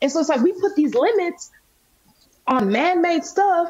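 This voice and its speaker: Speaking in an American accent at a moderate pace, a woman uses an extremely high pitch, very wide pitch swings and an animated tone against a quiet background. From US South, Nashville, Tennessee. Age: 30s. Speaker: faith and wellness entrepreneur. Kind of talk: casual interview chat. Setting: video call. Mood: earnest, reflective about faith. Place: home room. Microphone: video call.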